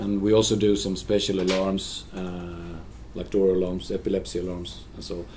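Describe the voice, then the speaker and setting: A man with a Swedish accent speaks at a moderate pace with a fairly low pitch and a dark, mellow tone. Room echo is audible. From Sweden. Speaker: social care alarm coordinator. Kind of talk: conference presentation. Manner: halting.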